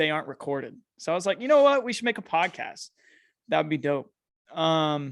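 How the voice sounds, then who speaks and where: On a very clean recording with a silent background, a man with a fairly high pitch speaks at a fairly quick pace with lively intonation and long, frequent pauses. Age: 20s. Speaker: podcast host and streamer. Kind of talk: casual chat.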